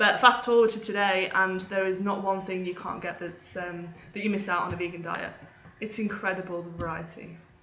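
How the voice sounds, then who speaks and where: Over noticeable background noise, the delivery runs at a fairly quick pace in a monotone, flat intonation. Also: woman, medium pitch for a woman. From England. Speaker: vegan parenting blogger and podcaster. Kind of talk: casual interview chat. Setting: remote call across time zones.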